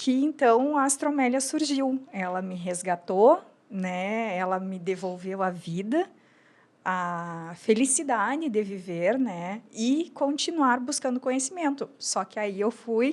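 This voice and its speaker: A woman speaks at a very slow pace with a fairly high pitch and very wide pitch swings. The recording is very clean, with a silent background. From Brazil, Rio Grande do Sul border (São Borja). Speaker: entrepreneur, lingerie brand founder. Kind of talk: podcast interview.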